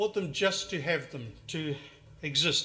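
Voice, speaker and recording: With a New Zealand accent and a bright, sharp tone, a man speaks at a moderate pace with ordinary pitch variation. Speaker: retro game collector vlogger. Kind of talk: casual monologue showing collection. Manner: halting, many fillers and restarts.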